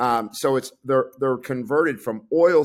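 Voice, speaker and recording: The pace here is moderate, and the pitch varies in an ordinary way. It is an unremarkable speaking voice. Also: man. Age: 60s. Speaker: clinical pharmacist and nutritionist. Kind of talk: interview.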